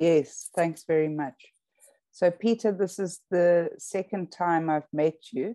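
A woman speaks at a very slow pace in a dark, mellow tone and fairly low pitch, with ordinary pitch variation. The sound is dry with no echo and the background is quiet. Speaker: emerita professor and webinar host. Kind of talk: interview conversation. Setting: video call. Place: home room. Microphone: video call.

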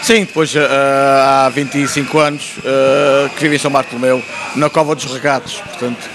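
A man with a fairly high pitch speaks at a fairly slow pace with fairly even intonation over noticeable background noise. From Azores (Terceira); Azores. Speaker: folk march choreographer; interview guest. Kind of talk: interview. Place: shop. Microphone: handheld.

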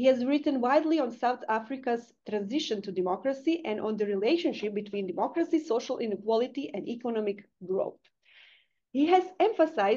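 A woman's high, dark and mellow voice with very wide pitch swings at a fairly quick pace. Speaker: seminar moderator. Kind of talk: formal introduction. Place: home room. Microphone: webcam.

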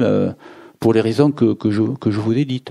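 Here a man speaks with a dark, mellow tone. His pitch varies in an ordinary way. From southern France, Béziers. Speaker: novelist. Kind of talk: author talk at bookshop. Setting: bookshop event with audience. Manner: halting, repeats words.

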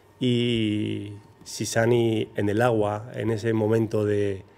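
A man's fairly low pitch in a monotone, flat intonation. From Basque Country, Zarautz. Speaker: professional big-wave surfer. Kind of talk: interview.

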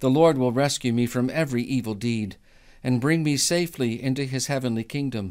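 The tone is solemn, with ordinary pitch variation at a moderate pace. The background is quiet. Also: man. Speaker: prayer leader. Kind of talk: fervent prayer. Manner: earnest, pleading, solemn. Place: home room. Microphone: studio mic.

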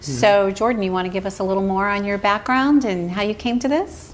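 The speech moves at a fairly quick pace. Pitch varies in an ordinary way. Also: woman, medium pitch for a woman.

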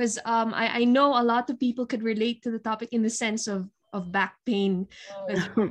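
Ordinary pitch variation in a woman's speech. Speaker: lecturer and moderator; lecturer, moderator. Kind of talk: moderating online Q&A. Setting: video call. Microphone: video call.

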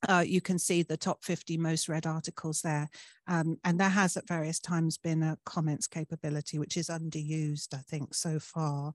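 A woman at a moderate pace, very deep and low in pitch with monotone, flat intonation, in a dry sound with no echo and a quiet background. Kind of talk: presentation talk. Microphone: video call.

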